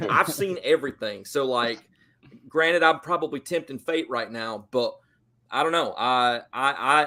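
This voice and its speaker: The voice has a Southern US accent and a bright, sharp tone. It moves at a moderate pace with ordinary pitch variation. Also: man, fairly high pitch for a man. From US South, Georgia. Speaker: football fan guest. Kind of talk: casual chat. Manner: animated.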